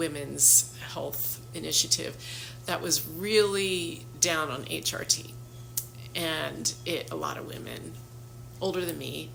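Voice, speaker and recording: A woman talks at a very slow pace with long, frequent pauses and big swings in loudness. Noticeable background noise and audible room echo fill the recording. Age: 60s. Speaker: health practitioner. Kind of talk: casual talk to camera. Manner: conversational with frequent fillers.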